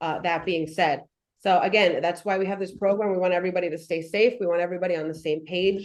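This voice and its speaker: Talking at a very fast pace, a woman with a New York accent uses fairly even intonation at a fairly low pitch. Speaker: firefighter giving fire safety talk. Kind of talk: presentation. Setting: in-person presentation to audience.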